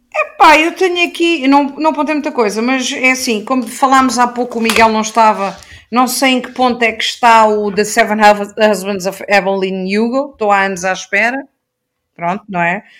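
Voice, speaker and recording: At a moderate pace, a woman with a fairly high pitch talks in an unremarkable speaking voice. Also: lively intonation. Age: 40s. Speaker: YouTube book reviewer. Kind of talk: casual chat.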